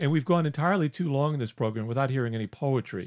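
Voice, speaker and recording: In a dry, close recording with no echo and a quiet background, a man speaks very fast at a fairly high pitch with lively intonation. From US South. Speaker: podcast co-host. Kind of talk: casual chat. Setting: video call.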